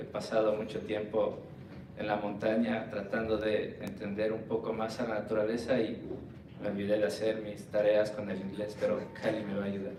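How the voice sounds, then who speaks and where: A man's fairly low-pitched voice at a fairly quick pace, with audible room echo and noticeable background noise. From Ecuador. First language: Spanish. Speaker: conservation worker. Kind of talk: conference presentation.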